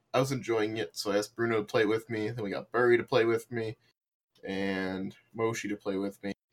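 Fairly quick and fairly even in intonation, a man speaks with an unremarkable speaking voice at a medium pitch. The sound is dry and close, without echo. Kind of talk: casual chat.

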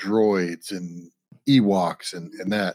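This man has an ordinary speaking voice, pitched fairly low, and his intonation stays fairly even. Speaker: podcast co-host. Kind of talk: casual chat. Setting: remote recording.

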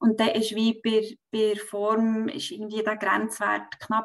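A woman with an unremarkable speaking voice, fairly high in pitch and fairly slow in pace. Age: 30s. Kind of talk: personal testimony in interview.

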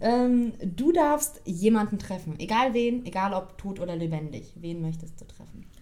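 With an unremarkable speaking voice at a medium pitch, a woman talks at a fairly slow pace with lively intonation, big swings in loudness, and hardly any pauses. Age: 20s. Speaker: podcast co-host. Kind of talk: casual chat.

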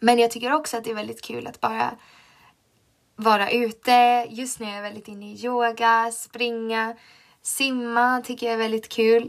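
A woman talks at a moderate pace in a fairly high pitch. Her intonation is monotone and flat, while her loudness swings a lot. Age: 20s. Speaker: podcast host, teacher student. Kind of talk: casual monologue.

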